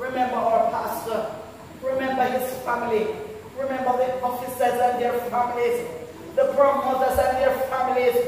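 A woman speaks in a high pitch with monotone, flat intonation, heard through strong room echo over light background noise. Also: moderate pace. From Jamaica. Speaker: church member leading prayer. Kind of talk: fervent congregational prayer, intense and pleading. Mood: earnest, fervent. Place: church. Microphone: camera far.

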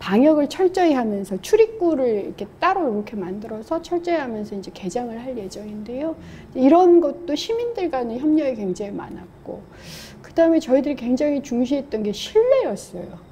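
Very wide pitch swings and big swings in loudness at a moderate pace, over light background noise. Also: woman, high pitch for a woman. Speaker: guest. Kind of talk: interview answer. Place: hall. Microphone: lapel.

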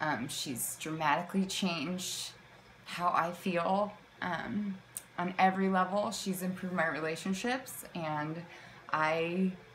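Over light background noise, a woman speaks at a fairly slow pace in a fairly low pitch with ordinary pitch variation. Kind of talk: testimonial talk. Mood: warm, grateful. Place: home room. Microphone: phone near.

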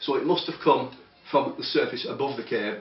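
A man talks at a fairly quick pace, with audible echo from the room. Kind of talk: interview answer. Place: office. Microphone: camera far.

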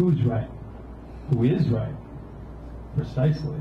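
A man at a moderate pace with fairly even intonation, audible room echo and light background noise. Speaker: poet. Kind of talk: spoken-word poetry reading. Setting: open mic in cafe. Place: cafe.

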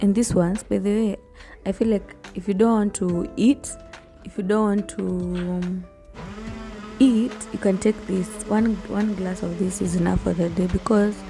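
A woman's voice with long, frequent pauses over clear background music. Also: moderate pace. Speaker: home vlogger. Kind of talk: casual vlog chat. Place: kitchen. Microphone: phone near.

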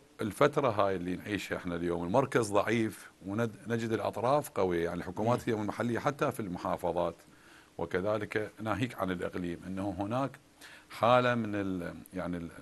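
With ordinary pitch variation, a man speaks in a fairly low pitch. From Iraq. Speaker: former member of parliament; talk show guest. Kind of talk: TV political interview. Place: studio. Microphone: lapel.

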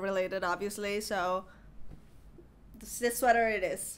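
At a moderate pace, a woman with a nasal, medium-pitched voice speaks with fairly even intonation.

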